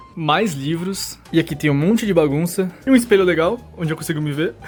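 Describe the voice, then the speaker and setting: Noticeable background noise runs under a man's high-pitched voice. He talks at a very fast pace with lively intonation. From Brazil. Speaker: YouTuber. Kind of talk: vlog tour. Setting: at home, in bedroom. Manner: quiet in hallway, louder in room.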